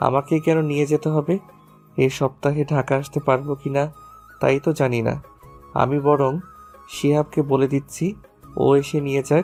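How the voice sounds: Putting on a character voice, a woman speaks with an extremely low pitch and a dark, mellow tone, at a fairly slow pace with little pitch movement, as faint music plays in the background.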